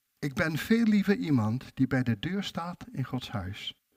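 This man's voice is somewhat breathy, with very wide pitch swings. He speaks at a fairly slow pace. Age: 60s. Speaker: preacher. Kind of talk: sermon.

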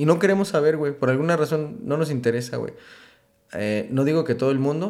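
Lively intonation marks a man's fairly high voice as he talks at a fairly quick pace. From Michoacán, Mexico (Uruapan). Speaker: tattoo artist. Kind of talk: casual chat.

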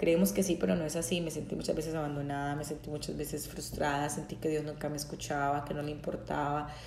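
A woman speaks very fast with hardly any pauses, her pitch very deep and low and her tone animated. Noticeable background noise and audible room echo fill the recording. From Colombia, Bucaramanga, Santander. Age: 30s. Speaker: podcast host, psychologist. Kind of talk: casual faith-based monologue. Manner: spontaneous, animated.

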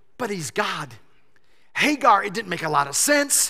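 A man in a raised, projected voice with a bright, sharp tone talks at a fairly slow pace with very wide pitch swings. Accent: American. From Michigan. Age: 50s. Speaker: pastor. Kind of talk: sermon. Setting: church. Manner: halting.

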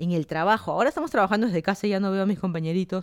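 A woman with a Lima accent speaks at a very fast pace and medium pitch, with ordinary pitch variation. The recording is very clean with a silent background. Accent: Peruvian (Lima) Spanish. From Lima, Peru.

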